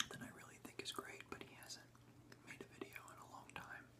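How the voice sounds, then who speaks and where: A man whispering at a moderate pace over noticeable background noise. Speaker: ASMR creator. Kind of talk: ASMR rambling talk. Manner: whispered, soft-spoken.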